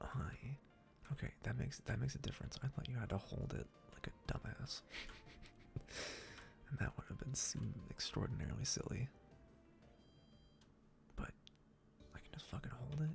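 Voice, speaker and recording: A man whispers with long, frequent pauses. Music plays in the background. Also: moderate pace. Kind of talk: casual gameplay commentary. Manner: whispered.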